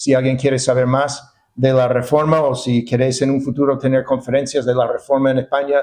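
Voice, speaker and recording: A man talks in a monotone, flat intonation with hardly any pauses. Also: medium pitch for a man. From United States. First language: English (speaking Spanish). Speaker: pastor and seminary professor. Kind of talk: sermon. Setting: church. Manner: halting, many fillers and repetitions.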